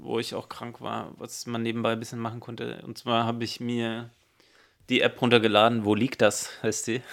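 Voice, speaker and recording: A man talks at a moderate pace in a medium pitch with monotone, flat intonation. His loudness swings widely. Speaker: podcast co-host. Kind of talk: casual chat.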